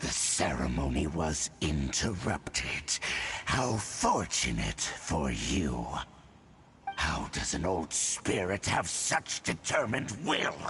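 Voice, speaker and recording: A put-on character voice growls with very wide pitch swings at a fairly slow pace. Background noise is clearly audible. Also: man. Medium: video game. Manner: archaic, solemn.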